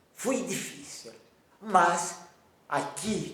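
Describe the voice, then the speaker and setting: Male speech with noticeable background noise and audible room echo. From Romania. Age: 90s. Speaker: Holocaust survivor. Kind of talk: interview testimony.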